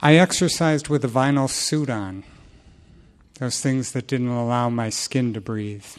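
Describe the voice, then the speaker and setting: A man talks fairly slowly at a medium pitch in a normal speaking voice. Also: ordinary pitch variation. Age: 60s. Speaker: recovery group speaker. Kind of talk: testimony.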